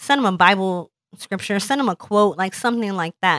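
On a very clean recording with a silent background and a dry, close sound with no echo, a woman speaks very fast at medium pitch with ordinary pitch variation. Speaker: cancer survivor and podcast creator. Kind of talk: casual interview chat. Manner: candid, humorous, profane.

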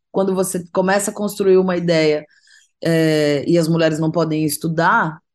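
Against a quiet background, a woman with an unremarkable speaking voice and a fairly low pitch talks at a fairly slow pace. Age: 40s. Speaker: singer-songwriter. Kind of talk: interview.

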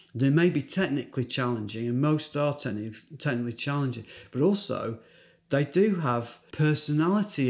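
In a very clean recording with a silent background, a man with a British accent talks at a moderate pace with a fairly high pitch. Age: 50s. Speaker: dentist, prosthodontics specialist. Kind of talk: interview, clinical discussion.

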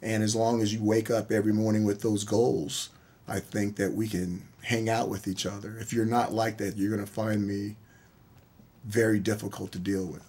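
This voice has a dark, mellow tone and a monotone, flat intonation, delivered at a moderate pace. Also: man, fairly low pitch for a man. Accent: American. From US, military bases around the country. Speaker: college football head coach. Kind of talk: radio interview. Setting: studio.

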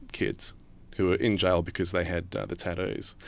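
A man's very deep, low voice with vocal fry, in an Australian accent. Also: quiet background. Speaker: news reporter. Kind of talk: interview conversation.

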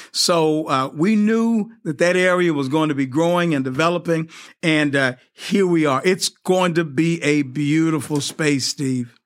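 In a very clean recording with a silent background, a man with an ordinary speaking voice and a fairly high pitch talks at a fairly slow pace, with very even loudness and ordinary pitch variation. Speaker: mayor. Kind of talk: formal interview.

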